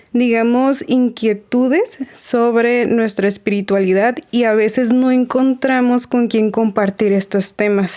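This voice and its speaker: Fairly high in pitch, a woman speaks at a very slow pace with hardly any pauses, very even loudness and fairly even intonation. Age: 30s. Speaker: spiritual community organizer. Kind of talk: casual interview.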